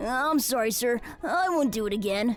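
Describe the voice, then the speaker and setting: Over clear background music, a female-sounding voice puts on a character voice at a high pitch and a moderate pace. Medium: audio drama. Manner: bouncy, eager.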